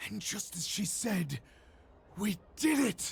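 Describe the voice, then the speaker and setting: Fairly slow and raspy, this put-on character voice sits at a middle pitch. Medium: video game. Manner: savage, fawning toward his lord.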